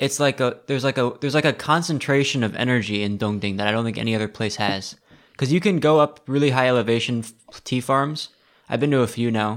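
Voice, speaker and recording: Speaking very fast, a man with an American accent talks at a medium pitch. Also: ordinary pitch variation. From Seattle, US. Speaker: podcast host, tea enthusiast. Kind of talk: casual chat. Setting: recording remotely from Taiwan.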